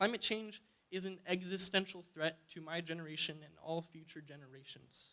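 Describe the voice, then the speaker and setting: A man speaks at a fairly quick pace. His voice is high for a man, with a bright, sharp tone. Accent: Alaskan. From Alaska, Fairbanks. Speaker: student climate activist. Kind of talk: public testimony. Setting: public hearing. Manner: hesitant, many fillers.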